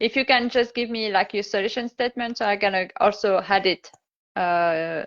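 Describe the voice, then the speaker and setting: A woman speaks with a non-native accent at a moderate pace. Her pitch is medium, with ordinary variation. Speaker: confidence coach and live-stream host. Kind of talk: casual interview.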